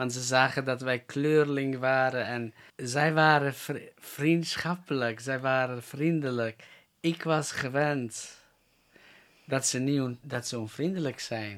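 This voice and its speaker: On a very clean recording with a silent background, a man speaks very slowly at a medium pitch with fairly even intonation. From North Macedonia (Roma), raised in Germany and the Netherlands. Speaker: evangelist. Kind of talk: interview. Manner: halting.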